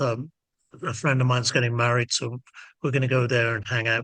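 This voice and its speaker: A man is speaking. His tone is bright and sharp. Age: 70s. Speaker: ska band frontman. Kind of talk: interview. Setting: video call. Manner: halting.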